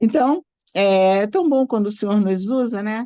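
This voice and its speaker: In a dry, close sound with no echo and a quiet background, a woman with a dark, mellow tone speaks very slowly at a medium pitch, her intonation lively. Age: 60s. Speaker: church training host and Sunday school teacher. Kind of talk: event introduction with personal testimony.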